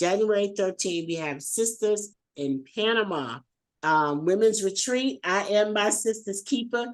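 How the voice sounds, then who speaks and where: A woman speaks at a moderate pace with lively intonation. Her tone is warm and animated. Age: 50s. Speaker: podcast host and tour organizer. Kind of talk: casual chat. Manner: warm, animated.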